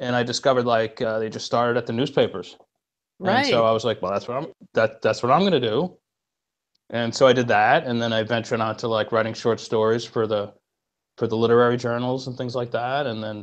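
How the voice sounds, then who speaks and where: This man talks at a very fast pace. His intonation is fairly even. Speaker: remote podcast guest. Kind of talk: interview answer. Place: home room. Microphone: earbuds.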